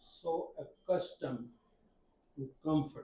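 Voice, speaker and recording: At a very slow pace, a man speaks in a high pitch. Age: 80s+. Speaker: journalist. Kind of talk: workshop panel talk. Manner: halting.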